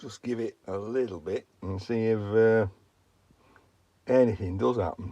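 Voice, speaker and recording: The voice has a dark, mellow, relaxed tone and fairly even intonation at a fairly slow pace. Long, frequent pauses break it up, and loudness swings widely. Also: man, medium pitch for a man. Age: 60s. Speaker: vlogger. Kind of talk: casual vlog narration. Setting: garden shed. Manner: relaxed, chatty.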